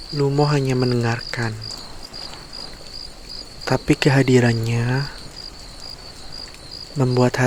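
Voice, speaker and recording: A man whispers, soft-spoken, at a very slow pace. Long, frequent pauses break his speech over noticeable background noise. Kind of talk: sleep story, bedtime fairy tale reading. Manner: whispered, soft, slow.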